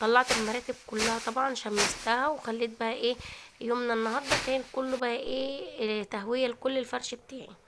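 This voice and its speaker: Hardly pausing, a woman with a high pitch speaks in a monotone, flat voice with an Egyptian accent. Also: moderate pace. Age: 20s. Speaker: cooking and lifestyle vlogger. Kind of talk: vlog narration. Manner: casual, chatty.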